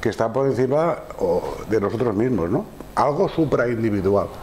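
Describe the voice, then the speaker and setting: Light background noise sits behind a man speaking at a fairly slow pace with very wide pitch swings. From Spain. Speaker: psychiatrist lecturer. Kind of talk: lecture. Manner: halting. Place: classroom. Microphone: lapel.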